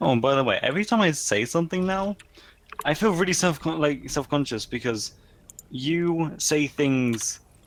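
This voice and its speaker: Lively intonation in a British accent. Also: man. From England. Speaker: streamer's voice chat guest. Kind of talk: casual chat. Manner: halting.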